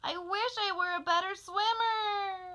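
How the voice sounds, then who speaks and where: A woman puts on a squeaky character voice at an extremely high pitch. Her pace is fairly slow. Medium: read story.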